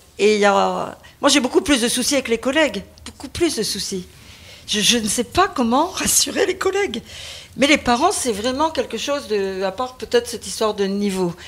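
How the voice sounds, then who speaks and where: Her pitch is high. The woman's voice swings very widely in pitch. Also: moderate pace. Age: 60s. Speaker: teacher. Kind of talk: testimony. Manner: halting; animated.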